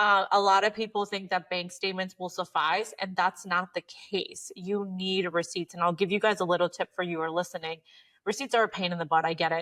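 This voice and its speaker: Speaking at a fairly quick pace over a quiet background, a woman uses a medium-pitched voice with a bright, sharp, animated tone. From Mexico. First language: Spanish. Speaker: accountant. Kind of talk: podcast interview.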